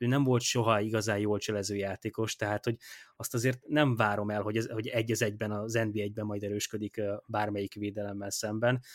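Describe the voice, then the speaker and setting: In a very clean recording with a silent background and a dry, close sound with no echo, a man talks at a fairly quick pace with a fairly low pitch and monotone, flat intonation. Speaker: football blogger. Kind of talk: casual chat. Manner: halting.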